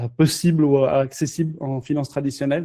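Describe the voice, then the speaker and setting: A man with a non-native accent, fairly high in pitch, dark and mellow in tone. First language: not French (speaking French). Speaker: crypto company founder. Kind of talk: casual interview. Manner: halting, many fillers.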